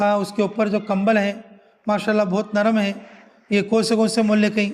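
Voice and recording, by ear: A man speaks at a moderate pace in a high pitch. His intonation is monotone and flat.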